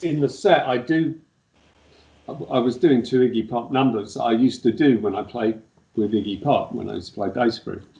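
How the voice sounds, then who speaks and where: Speaking at a fairly quick pace, the man has a medium pitch and ordinary pitch variation. His tone is dark and mellow. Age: 60s. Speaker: punk bass player. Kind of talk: interview.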